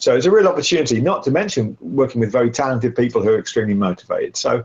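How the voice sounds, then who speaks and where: A man at a very fast pace, medium in pitch with very wide pitch swings, somewhat breathy, with very even loudness. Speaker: workshop facilitator. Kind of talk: lecture. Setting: live webcast.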